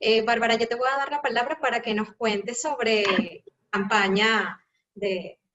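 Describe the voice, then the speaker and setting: A woman's fairly high voice in a Venezuelan accent, ordinary pitch variation, fairly slow pace. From Caracas, Venezuela. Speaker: educator. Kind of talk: live panel talk.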